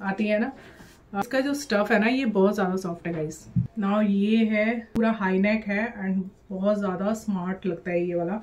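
A woman speaks at a moderate pace, her intonation fairly even. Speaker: fashion haul vlogger. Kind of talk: casual vlog chat. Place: home room. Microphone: phone near.

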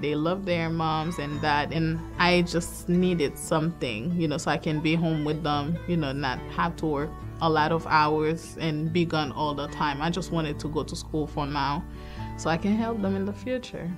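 Over clear background music, a woman speaks at a moderate pace in a very deep, low voice with ordinary pitch variation. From Haiti. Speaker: certified nurse aide. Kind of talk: interview answer. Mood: earnest, emotional, proud. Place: studio.

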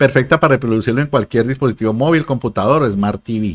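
A man speaks against a quiet background. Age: 50s. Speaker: digital marketing consultant and YouTuber; YouTuber. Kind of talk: livestream sales talk. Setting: live stream.

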